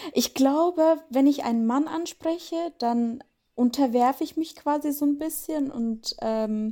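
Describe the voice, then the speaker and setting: A woman's high pitch in a dark, mellow tone, very slow in pace with ordinary pitch variation. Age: 20s. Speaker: reality TV contestant. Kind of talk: interview.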